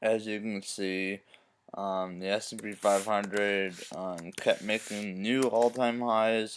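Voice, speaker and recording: Recorded very cleanly against a silent background, a man with fairly low pitch talks at a very slow pace in a monotone, flat intonation, his loudness swinging widely. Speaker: stock trading youtuber. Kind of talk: casual market recap. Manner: halting, many fillers.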